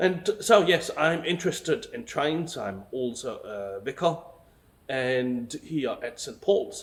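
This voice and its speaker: Speaking with a German accent, the man lets his pitch swing very widely. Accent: German accent, confuses V and W. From Germany. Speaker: vicar. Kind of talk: casual video talk. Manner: hesitant, many fillers.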